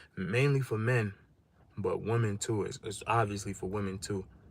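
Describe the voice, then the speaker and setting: A man talks in a flat, monotone way, his voice somewhat breathy. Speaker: livestreamer giving life advice. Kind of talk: casual livestream monologue. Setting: live stream.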